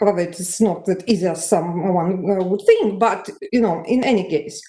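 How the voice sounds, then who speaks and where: A woman speaks with a Russian accent at a moderate pace. Her medium-pitched voice has a dark, mellow tone and ordinary pitch variation. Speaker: conference audience member. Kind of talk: conference discussion remark. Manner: halting.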